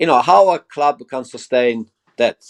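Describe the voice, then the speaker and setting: A man speaks with an Italian accent. The sound is dry and close, with no echo. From Italy. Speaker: football fan pundit. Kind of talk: casual debate. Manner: animated; halting.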